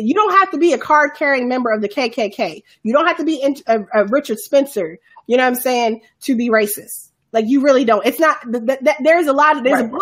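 A woman with an American accent, high-pitched and lively in intonation, at a fairly quick pace. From US, Chicago south side. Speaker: podcast host. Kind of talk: casual chat. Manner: halting.

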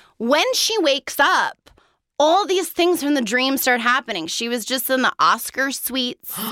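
In a New York accent, a woman projects a raised, high, bright and sharp voice at a moderate pace, animated and with very wide pitch swings. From New York City. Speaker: actress. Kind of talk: casual chat.

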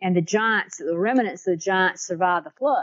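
Using a Southern US accent, this woman talks at a medium pitch. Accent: Southern US (Georgia). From US South, South Georgia. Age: 60s. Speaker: author and researcher. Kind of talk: interview.

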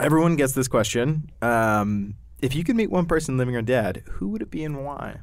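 A man with an American accent and an ordinary speaking voice, medium pitch, lively intonation and a moderate pace. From Yuma, Arizona, US. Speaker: podcast host. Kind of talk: interview.

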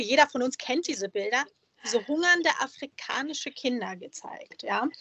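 A woman talks at a moderate pace with big swings in loudness. Her pitch is high. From Germany, small town. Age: 30s. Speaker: columnist. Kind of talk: interview.

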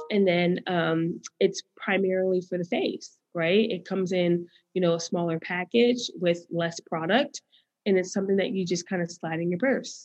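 Here is a woman with an American accent and an unremarkable speaking voice. Her pitch is medium, her pace moderate and her intonation fairly even. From US Northeast. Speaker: business founder. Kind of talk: interview.

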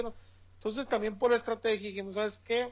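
This man speaks with a high pitch. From Mexico, Sonora (Hermosillo). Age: 30s. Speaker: entrepreneur. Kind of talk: interview. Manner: halting, many repetitions and fillers.

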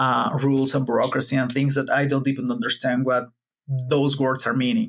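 A man with a Spanish accent speaks at a fairly high pitch. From Mexico, Puebla. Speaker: wikimedia activist. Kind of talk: casual interview. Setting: video call from home.

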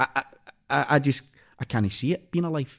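A man with a Scottish accent talks at a fairly quick pace with lively intonation. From Scotland, Clydebank near Glasgow. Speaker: actor. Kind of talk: casual chat. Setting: studio.

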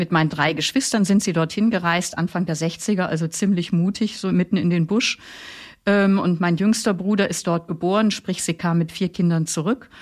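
In an ordinary speaking voice, a woman speaks at a moderate pace with fairly low pitch, fairly even intonation and very even loudness, on a very clean recording with a silent background. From northern Germany, Flensburg Fjord. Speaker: theologian and author, religious sister. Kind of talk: biographical interview.

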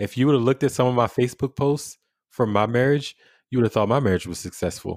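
The speaker talks at a very fast pace with an American accent and ordinary pitch variation. The very clean recording has a silent background and a dry, close sound with no echo. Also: man, medium pitch for a man. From Washington, D.C. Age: 30s. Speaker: military service member, podcast host. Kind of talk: casual interview conversation.

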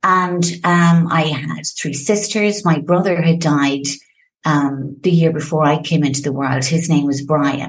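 A woman with an Irish accent talks at a fairly slow pace in a very deep, low pitch with ordinary pitch variation. Audible room echo surrounds her voice. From Ireland, Limerick. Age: 50s. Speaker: founder of a sobriety support platform. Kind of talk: podcast interview. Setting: home office. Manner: animated.

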